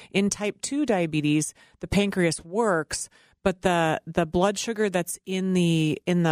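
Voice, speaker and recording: An unremarkable speaking voice moves at a fairly slow pace with ordinary pitch variation, the recording very clean with a silent background and a dry, close sound with no echo. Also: woman. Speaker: nurse practitioner. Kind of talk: interview.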